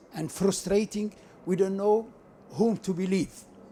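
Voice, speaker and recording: A man speaks with an Arabic accent. His pitch is high. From Libya, Benghazi. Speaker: audience member asking a question. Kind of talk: audience question at public lecture. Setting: lecture hall, speaking into audience microphone.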